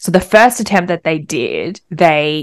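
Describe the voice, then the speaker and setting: With an Australian accent, a woman talks at a moderate pace in a fairly low pitch, her pitch varying in an ordinary way. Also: very clean recording, silent background. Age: 20s. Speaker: podcast co-host. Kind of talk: casual chat.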